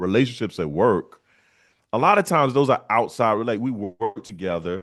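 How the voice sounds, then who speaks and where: Over a quiet background, a man with an American accent uses a plain, everyday voice with lively intonation. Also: medium pitch for a man, moderate pace. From South Carolina, USA. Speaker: professional comedian; army veteran. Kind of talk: interview answer.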